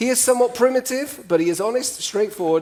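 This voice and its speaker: A man talks at a very fast pace in an animated tone. Noticeable background noise runs behind him. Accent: English. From UK. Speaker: cross-cultural communication trainer. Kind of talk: talk to a live audience.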